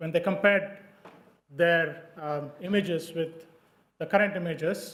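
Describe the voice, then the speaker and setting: In a room with audible echo, a man with a non-native accent talks at a moderate pace in a high pitch and fairly even intonation. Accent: non-native English, noticeable R's. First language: not English. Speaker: dermatologist presenting research. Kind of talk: conference presentation. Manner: hesitant, many fillers.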